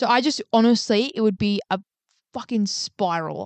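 A woman with an ordinary speaking voice talks at a fairly quick pace and a fairly high pitch. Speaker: podcast co-host, healthcare worker. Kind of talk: casual chat.

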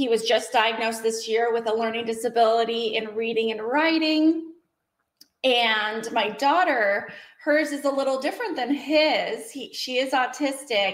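A woman in an American accent, with an ordinary speaking voice, fairly high pitch and ordinary pitch variation, at a moderate pace. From Washington State. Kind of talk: interview.

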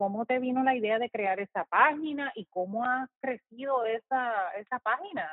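A woman's fairly high voice rises and falls in a lively way. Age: old. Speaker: podcast host. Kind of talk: casual interview.

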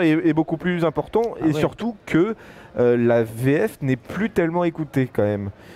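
Here a man talks at a fairly slow pace in a dark, mellow tone. His pitch swings very widely. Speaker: podcast interviewer. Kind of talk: interview.

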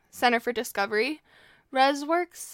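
A woman uses a normal speaking voice with ordinary pitch variation. The sound is dry and close, with no echo. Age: 20s. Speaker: podcast co-host in eating disorder recovery. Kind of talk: casual chat.

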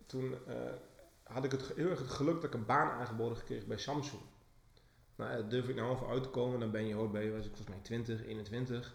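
Medium-pitched male voice at a moderate pace, fairly even intonation, audible room echo. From England, then Enschede. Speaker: branding agency owner, podcast co-host. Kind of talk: casual chat. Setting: office. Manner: talkative. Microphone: cheap microphone.

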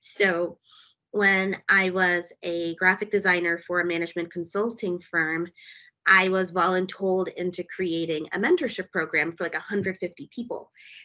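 The speaker has an American accent and a bright, sharp tone. Delivery is at a moderate pace with fairly even intonation against a quiet background. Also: woman, medium pitch for a woman. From US, DC metro area. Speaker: tech startup founder and CEO. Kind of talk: podcast interview.

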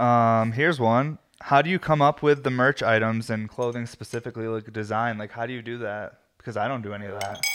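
A man at medium pitch, fairly quick and with hardly any pauses, fairly even intonation, big swings in loudness, and a quiet background. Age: 30s. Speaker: podcast host and glass shop owner. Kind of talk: casual chat. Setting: home video podcast. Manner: talkative, rambling.

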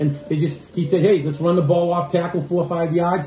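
Audible room echo and noticeable background noise fill the recording. A man with an American accent talks at a very fast pace with fairly even intonation. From Boston. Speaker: sports podcast host, former coach. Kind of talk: casual chat.

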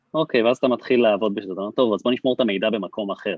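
This is a man speaking at a medium pitch. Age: 30s. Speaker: startup CTO and co-founder. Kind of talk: podcast interview.

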